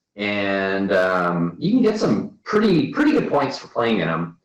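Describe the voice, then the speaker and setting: With an American accent, a man speaks fairly slowly at a fairly low pitch, his pitch moving in an ordinary way, and room echo can be heard. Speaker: bridge player. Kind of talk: casual talk. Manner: halting, many fillers.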